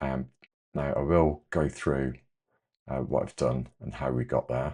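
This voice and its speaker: Quiet and very deep, a man with an English accent speaks at a fairly slow pace in a dark, mellow tone with monotone, flat intonation. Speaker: amateur repairer, repair cafe organiser. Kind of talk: tutorial. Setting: home workshop, late at night. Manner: hesitant, many fillers.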